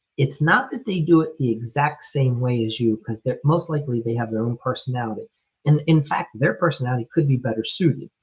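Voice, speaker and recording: A man's somewhat breathy voice sits at medium pitch with ordinary pitch variation. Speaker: remodeling business coach. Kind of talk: live stream coaching talk. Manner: slow; casual, with fillers.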